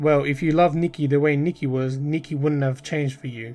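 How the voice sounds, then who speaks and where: This robotic, put-on character voice goes at a fairly quick pace. Faint music plays in the background. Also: man, fairly high pitch for a man. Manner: emotionless, flat.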